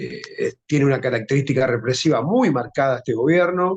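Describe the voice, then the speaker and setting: A man with an Argentine accent, ordinary pitch variation and a moderate pace. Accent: Rioplatense Argentine Spanish. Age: 60s. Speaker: social movement leader. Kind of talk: interview.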